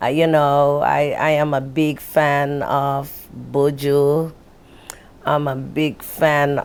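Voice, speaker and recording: Very slowly and in a monotone, flat way, a woman with a Jamaican accent speaks at a very deep, low pitch. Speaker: local political candidate. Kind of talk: casual interview conversation.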